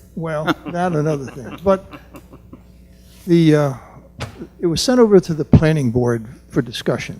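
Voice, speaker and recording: A man with an American accent speaks at a moderate pace in a fairly high pitch, with lively intonation and big swings in loudness. He leaves long, frequent pauses while music plays in the background. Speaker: resident speaking at public comment, planning board member. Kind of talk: public comment at council meeting. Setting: township meeting room. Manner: quiet.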